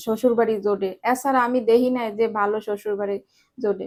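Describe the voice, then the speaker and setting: A woman speaks with monotone, flat intonation. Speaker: lifestyle vlogger. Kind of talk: casual vlog storytelling. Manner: unpolished, conversational.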